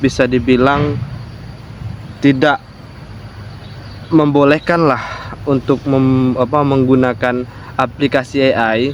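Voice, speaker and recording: Noticeable background noise accompanies a man who speaks very slowly. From Jambi, Sumatra, Indonesia. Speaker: vlogger. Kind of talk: casual personal vlog talk. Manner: halting, with many fillers.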